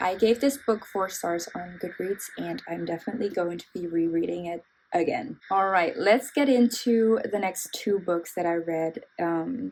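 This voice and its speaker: A woman with a non-native accent talks at a moderate pace and a medium pitch, with ordinary pitch variation. She hardly pauses, and music plays in the background. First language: not English. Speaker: book reviewer. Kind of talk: casual book review vlog. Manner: casual, filler-heavy.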